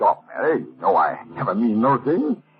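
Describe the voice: A man uses a put-on character voice with a husky, rough edge. His pitch is fairly low and swings very widely. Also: moderate pace.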